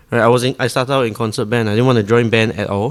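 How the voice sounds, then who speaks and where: A man with a Singaporean accent talks at a very fast pace and a medium pitch. The recording is very clean, with a silent background. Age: 20s. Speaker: saxophonist. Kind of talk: casual interview chat.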